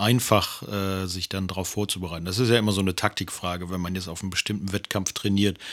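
On a very clean recording with a silent background, a man speaks in a plain, everyday voice, his fairly low pitch held in fairly even intonation. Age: 50s. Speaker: podcast co-host, partner of person with diabetes. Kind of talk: casual chat.

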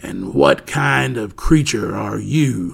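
In a put-on character voice, a man speaks at a very slow pace and a very deep, low pitch. The sound is raspy and gravelly. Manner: curious.

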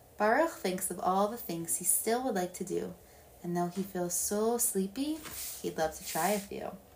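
Her intonation lively, a woman talks in an unremarkable speaking voice. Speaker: storytime reader. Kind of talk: bedtime story read aloud in rhyming verse. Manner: soft, warm, gentle and soothing, slow unhurried pacing; sing-song rhythm that leans into the rhymes.

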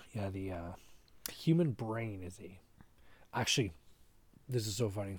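A man talks at a fairly low pitch, somewhat breathy, with big swings in loudness. He leaves long, frequent pauses. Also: ordinary pitch variation, moderate pace. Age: 30s. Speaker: podcast co-host. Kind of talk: casual chat.

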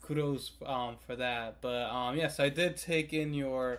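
A man at medium pitch, fairly slow pace, an ordinary speaking voice. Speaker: podcast co-host. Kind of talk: casual chat.

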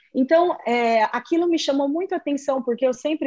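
She speaks with a high pitch and ordinary pitch variation, a woman's voice throughout. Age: 30s. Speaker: lawyer. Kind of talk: interview.

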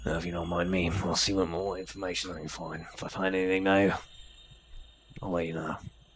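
A man's put-on character voice, gruff and raspy, at a very deep, low pitch, with monotone, flat intonation at a very fast pace broken by long, frequent pauses. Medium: actual play. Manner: gruff and profane.

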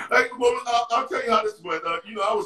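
In an American accent, a man projects a raised voice at a fairly quick pace. His pitch swings very widely. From New York City, Harlem. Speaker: retired basketball player. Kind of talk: interview storytelling. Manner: halting.

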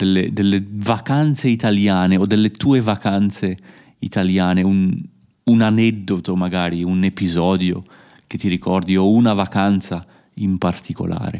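Against a silent background in a very clean recording, a man with a dark, mellow tone speaks at a fairly slow pace with fairly even intonation. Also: fairly low pitch for a man. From Italy. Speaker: podcast host, Italian teacher. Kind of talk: casual interview for learners. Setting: recording at family home in Italy.

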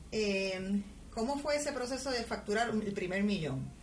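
With audible room echo and noticeable background noise, a woman talks in a lively, varied intonation. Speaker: podcast host, entrepreneur and finance educator. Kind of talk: interview.

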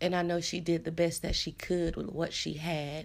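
In a very clean recording with a silent background, a woman speaks with a fairly low pitch and fairly even intonation. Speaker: podcast host and personal development advisor. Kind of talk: casual solo podcast monologue. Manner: unscripted, freestyling with many fillers.

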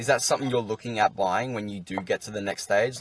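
Over noticeable background noise, a man with an Australian accent speaks at a fairly low pitch with fairly even intonation. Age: young. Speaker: podcast host. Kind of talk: casual interview.

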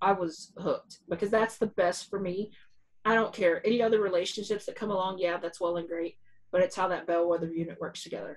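With a plain, everyday voice, a woman speaks at a fairly quick pace and medium pitch, her intonation fairly even. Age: 40s. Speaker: podcast co-host. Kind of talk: casual chat.

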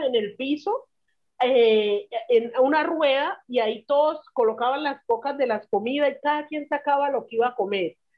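A woman's high voice at a moderate pace with ordinary pitch variation. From Colombia, Chocó (Río Sucio). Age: 30s. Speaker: social activist, conflict victim. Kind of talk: casual interview chat.

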